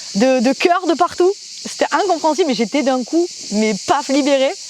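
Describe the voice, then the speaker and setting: Lively intonation at a fairly slow pace, with noticeable background noise. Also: woman. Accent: strong southern French. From southern France, Provence. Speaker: singer and stage performer. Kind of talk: interview testimony. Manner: hesitant, many fillers and repetitions.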